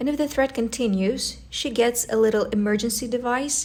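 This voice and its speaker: A woman speaks with a post-Soviet accent and a fairly high pitch. Her voice is somewhat breathy, with fairly even intonation. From post-Soviet country. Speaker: travel vlogger. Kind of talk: vlog narration. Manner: casual, conversational.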